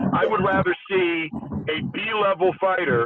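A man's pitch shifts in an ordinary way as he talks, with quiet all around. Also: dry sound with no echo. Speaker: remote guest. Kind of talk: interview answer. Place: car. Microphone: video call.

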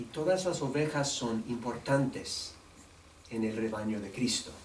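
A man with a non-native accent at a fairly slow pace, ordinary pitch variation, audible room echo and light background noise. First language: English (speaking Spanish). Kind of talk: press conference statement. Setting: news conference. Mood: warm, earnest. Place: meeting room. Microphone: podium.

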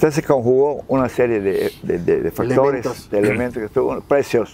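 Light background noise accompanies a man talking at a very fast pace. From Yucatán, Mexico. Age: 80s+. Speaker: nautical businessman and jazz musician. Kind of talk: interview answer. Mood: warm, proud storytelling. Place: waterside. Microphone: lapel.

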